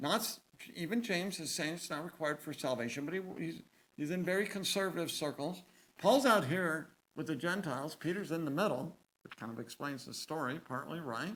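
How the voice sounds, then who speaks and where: A man speaks at a fairly quick pace in an unremarkable speaking voice. His pitch is fairly high. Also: lively intonation. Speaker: seminary professor lecturing on the Bible. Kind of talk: lecture. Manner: conversational with fillers and self-corrections.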